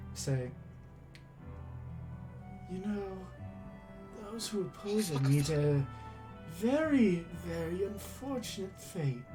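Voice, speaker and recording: A put-on character voice at a middle pitch speaks at a very slow pace. Music plays clearly in the background. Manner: ominous, menacing.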